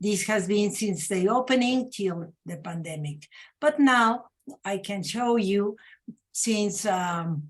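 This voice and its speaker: Speaking very slowly, a woman uses a Mexican accent. Her voice sits at a medium pitch. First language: Spanish. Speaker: panelist presenting a women's museum. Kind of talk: panel presentation. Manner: halting, many fillers.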